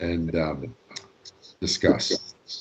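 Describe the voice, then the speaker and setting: The speaker is a man. He has a Canadian accent. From Canada. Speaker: law lecturer. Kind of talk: lecture. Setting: video call. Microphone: long-distance online connection.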